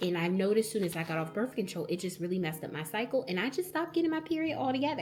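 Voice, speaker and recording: With music playing behind her, a woman talks at a very fast pace in an animated tone with lively intonation. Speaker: vlogger. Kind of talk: casual vlog talk.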